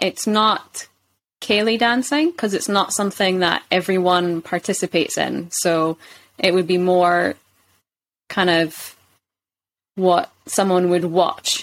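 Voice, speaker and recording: In a Scottish accent, a woman speaks at a fairly slow pace with very even loudness, ordinary pitch variation and long, frequent pauses, in a very clean recording with a silent background. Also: medium pitch for a woman. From Scotland, Kirkcaldy (Fife). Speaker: English teacher. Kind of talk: casual interview.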